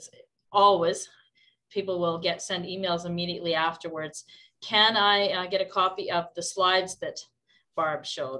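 Her voice bright and sharp, a woman talks at a moderate pace and medium pitch in a flat monotone, leaving long, frequent pauses. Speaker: workshop host. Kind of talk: workshop introduction. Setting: video call.

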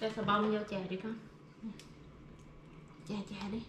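A woman's fairly bright voice with little pitch movement and audible room echo. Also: medium pitch for a woman, fairly slow pace.

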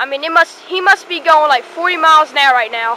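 A woman's raised, projected voice moves at a moderate pace with ordinary pitch variation, sounding dry with no echo over light background noise. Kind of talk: casual vlog commentary. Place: street. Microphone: phone near.

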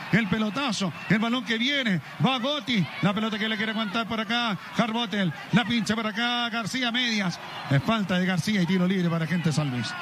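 Noticeable background noise surrounds a man talking in an animated tone at a high pitch. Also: ordinary pitch variation. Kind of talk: live radio sports commentary. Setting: radio broadcast from stadium. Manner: fast, breathless play-by-play delivery; animated, excitable.

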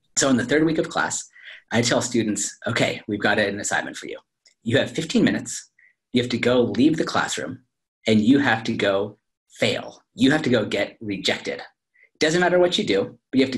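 A somewhat breathy man with lively intonation and a moderate pace, over a quiet background. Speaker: professor, remote interview guest. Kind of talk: interview answer. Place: office. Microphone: video call.

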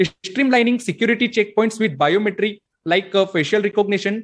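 A man's high-pitched voice at a moderate pace over a quiet background. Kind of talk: conference presentation.

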